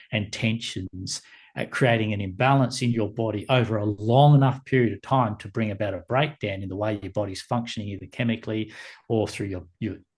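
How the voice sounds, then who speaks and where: Over a quiet background, a man speaks in a somewhat breathy voice with ordinary pitch variation. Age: 60s. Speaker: meditation teacher. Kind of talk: podcast interview. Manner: halting.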